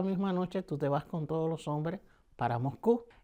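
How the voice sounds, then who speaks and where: A man with a Cuban accent and a dark, mellow tone, ordinary pitch variation, on a very clean recording with a silent background. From Cuba, Havana. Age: 70s. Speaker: painter, performer. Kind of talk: interview answer.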